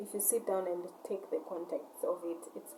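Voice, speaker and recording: Speaking at a fairly slow pace, a woman with a non-native accent has a dark, mellow tone. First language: not English. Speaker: vlogger, shop owner. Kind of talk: casual monologue rant. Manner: halting, repetitive.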